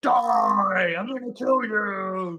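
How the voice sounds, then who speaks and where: The pitch here is high for a man. He is doing a put-on character voice. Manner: menacing.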